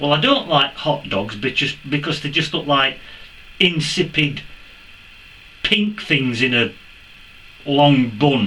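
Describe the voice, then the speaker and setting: Against noticeable background noise, a man with an English accent talks at a fairly high pitch and a fairly slow pace. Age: 60s. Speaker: metal detecting youtuber. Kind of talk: casual vlog Q&A.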